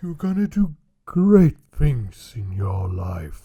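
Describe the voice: A soft-spoken, cartoonish character voice with very wide pitch swings. It moves at a very slow pace. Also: man, fairly high pitch for a man.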